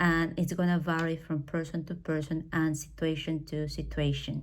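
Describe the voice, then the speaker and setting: At a fairly slow pace, a woman with a very deep, low pitch speaks on a very clean recording with a silent background. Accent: Spanish. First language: Spanish. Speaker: English teacher. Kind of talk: personal talk. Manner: hesitant, with fillers.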